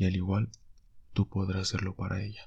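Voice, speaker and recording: A man with a fairly low voice for a man speaks at a fairly quick pace, somewhat breathy and in a monotone, flat intonation. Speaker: love-advice page administrator. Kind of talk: monologue introduction. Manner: halting.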